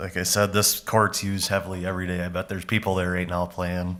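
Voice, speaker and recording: Loud and fairly quick, a man speaks with an Upper Midwest accent. His pitch is very deep and low, and his intonation is monotone and flat. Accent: Upper Midwest (Minnesota). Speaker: county parks and forestry staff presenting to board. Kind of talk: public meeting presentation. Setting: county board meeting room.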